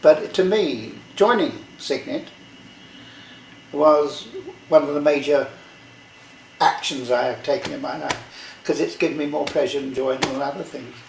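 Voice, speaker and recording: A man talks at a fairly slow pace with long, frequent pauses and big swings in loudness. Noticeable background noise is present. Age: 80s+. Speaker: retired rowing club secretary and navy veteran. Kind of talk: reminiscing conversation.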